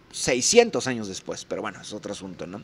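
A man speaks at a fairly quick pace. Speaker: political commentary youtuber. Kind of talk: recorded video commentary. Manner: fast.

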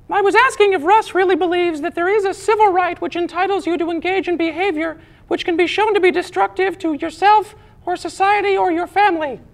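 An extremely high, cartoonish character voice at a very fast pace. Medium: puppet.

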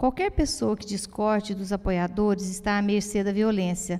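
A woman is speaking. Her tone is dark and mellow. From Brazil, Goiás (Goiatuba); Goiás, Brazil. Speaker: moderator, visual artist and poet; moderator, poet. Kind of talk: moderating a public talk. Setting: theatre stage with audience. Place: stage. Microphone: handheld.

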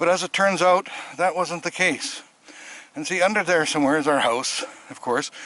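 At a moderate pace and with ordinary pitch variation, a man speaks in a dry sound with no echo. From Canadian mainland. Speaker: vlogger. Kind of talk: casual home video narration. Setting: outdoors. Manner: conversational, rambling. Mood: relaxed, chatty. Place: open country. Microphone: phone near.

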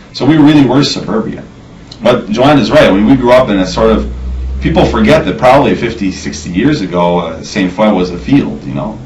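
Over light background noise, a man with a fairly low pitch talks at a fairly quick pace in a normal speaking voice. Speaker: interviewee. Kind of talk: interview answer. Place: home room. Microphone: camera far.

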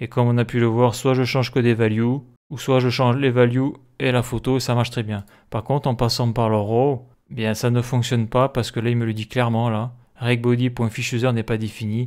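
A man speaks at a moderate pace in a flat, monotone delivery, his pitch sitting in the middle range. The recording is very clean, with a silent background. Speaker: programming tutorial creator. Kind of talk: screen-recorded coding tutorial. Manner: hesitant, many fillers.

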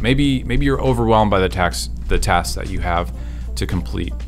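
A man talks at a moderate pace with faint music in the background. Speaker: speaker. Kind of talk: devotional talk to camera. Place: studio. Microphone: studio mic.

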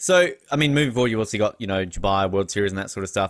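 A fairly low-pitched man with an Australian accent, dry sound with no echo and a quiet background. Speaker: podcast host. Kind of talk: interview. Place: home room. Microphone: studio mic.

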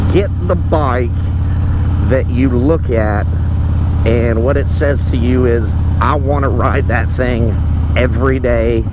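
Long pauses come often in this dry, echo-free recording. Noticeable noise sits in the background. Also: man. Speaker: motorcycle vlogger. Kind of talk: casual vlog chat. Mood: relaxed, amused. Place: motorbike. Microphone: helmet.

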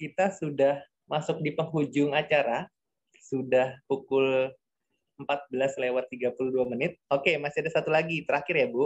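A man at a fairly high pitch, fairly slow, with very even loudness and fairly even intonation over a quiet background. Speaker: discussion moderator. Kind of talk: moderated webinar. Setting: video call. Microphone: video call.

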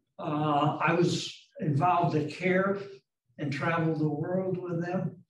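A man with an American accent and a high pitch talks at a fairly slow pace in a monotone, flat intonation, with audible room echo and light background noise. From Wisconsin, Wauwatosa; Wisconsin. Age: old. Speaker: retired tech executive; interviewee. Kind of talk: interview. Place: meeting room. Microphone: camera far.

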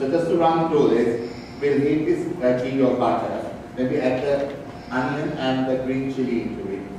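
Speech comes at a moderate pace with fairly even intonation. Strong room echo and noticeable background noise fill the recording. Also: man, medium pitch for a man. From Sri Lanka. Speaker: chef. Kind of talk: cooking demonstration. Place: stage.

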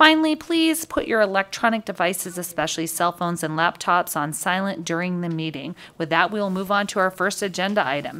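A woman talks at a fairly quick pace with hardly any pauses. Her pitch variation is ordinary. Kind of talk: meeting procedure, chairing a hearing. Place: hall. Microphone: podium.

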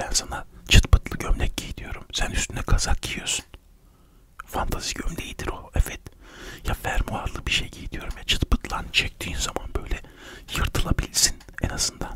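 A soft-spoken man talks at a moderate pace. Loud background noise runs underneath. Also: dry sound with no echo. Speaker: comic storyteller. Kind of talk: comedic monologue to camera. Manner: soft close-mic ASMR voice. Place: home room. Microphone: studio mic.

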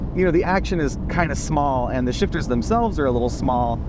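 The sound is dry, with no echo, and noticeable background noise. A man is speaking. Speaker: automotive journalist. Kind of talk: car review commentary. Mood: enthusiastic, relaxed. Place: car.

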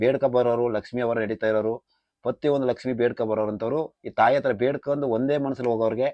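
A man's normal speaking voice at medium pitch, with fairly even intonation. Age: 30s. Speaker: temple oracle. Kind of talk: explanation to camera.

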